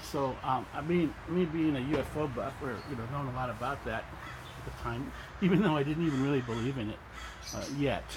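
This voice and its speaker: Speaking at a fairly quick pace, a man with a fairly high pitch is heard with audible room echo. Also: ordinary pitch variation. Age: 60s. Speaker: UFO enthusiast. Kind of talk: casual talk. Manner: halting, many fillers and repeats.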